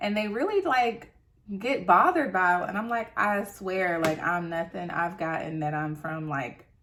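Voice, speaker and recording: An animated woman with an American accent, medium pitch, ordinary pitch variation and a moderate pace, over noticeable background noise. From US South (North Carolina and Tennessee). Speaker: beauty vlogger. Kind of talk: casual chat.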